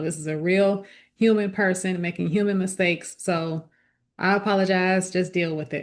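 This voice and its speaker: A woman's unremarkable speaking voice, medium in pitch, with fairly even intonation, a moderate pace and a quiet background. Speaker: lifestyle vlogger. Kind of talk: casual talk to camera.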